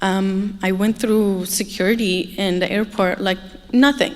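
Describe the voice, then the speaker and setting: A woman with an Arabic accent, medium in pitch, at a fairly slow pace. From Egypt. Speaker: human trafficking survivor speaker. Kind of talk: testimony. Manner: hesitant, many fillers.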